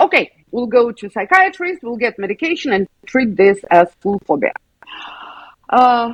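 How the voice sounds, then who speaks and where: With a Russian accent, a woman speaks at a fairly high pitch, her voice making very wide pitch swings. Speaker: school psychologist. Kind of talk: interview.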